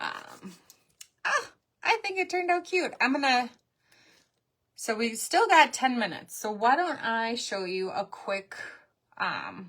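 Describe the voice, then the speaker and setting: Using a bright, sharp tone and a high pitch, a woman talks at a fairly slow pace with very wide pitch swings and long, frequent pauses. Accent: strong Minnesotan. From Minnesota. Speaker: crafting livestream host. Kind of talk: live craft tutorial. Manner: casual, chatty.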